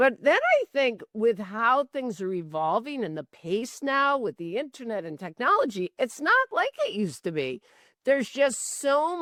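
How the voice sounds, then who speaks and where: With a high pitch and a bright, sharp tone, a woman speaks with very wide pitch swings and hardly any pauses, in a dry, close sound with no echo. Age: 60s. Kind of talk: casual chat.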